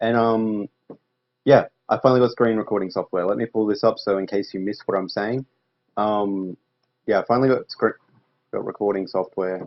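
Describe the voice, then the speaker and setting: Speaking with an Australian accent, a man talks at a fairly quick pace and a fairly low pitch with fairly even intonation and long, frequent pauses. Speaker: gaming YouTuber. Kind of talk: gameplay commentary. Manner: fast.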